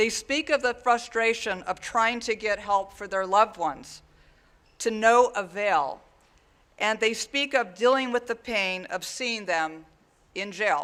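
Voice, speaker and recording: This man talks at a fairly slow pace in a raised, projected voice with a bright, sharp tone. His pitch is high, with ordinary pitch variation. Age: 60s. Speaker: sheriff. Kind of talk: prepared speech at press conference. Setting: press conference. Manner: formal.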